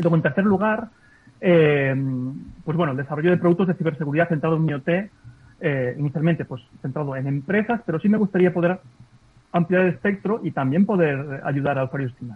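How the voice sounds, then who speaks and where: A man with a normal speaking voice talks at a fairly quick pace, his fairly high pitch showing ordinary variation. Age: 40s. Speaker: ethical hacker, cybersecurity entrepreneur. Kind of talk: interview. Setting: video call.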